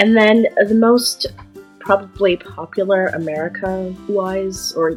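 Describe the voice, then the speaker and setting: A woman's voice, with music in the background. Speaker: artist. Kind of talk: casual talk to camera. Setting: built-in computer microphone.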